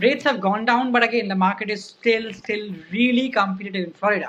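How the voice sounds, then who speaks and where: Speaking very fast with an Indian accent, a woman uses a medium pitch and ordinary pitch variation. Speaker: podcast host. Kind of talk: interview.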